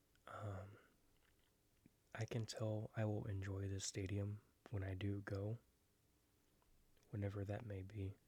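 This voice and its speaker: Soft-spoken and somewhat breathy, a man talks at a fairly slow pace and a fairly low pitch in a flat monotone with a dark, mellow tone, leaving long, frequent pauses. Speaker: ASMR creator and baseball fan. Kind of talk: ASMR book flip-through, casual talk to camera.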